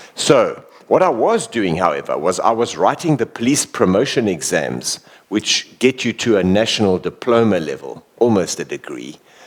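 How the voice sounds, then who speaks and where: A man speaks at a moderate pace in a South African accent. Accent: English-speaking South African. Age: 50s. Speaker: former bodyguard and police officer. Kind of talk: talk interview before an audience. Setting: village hall with live audience.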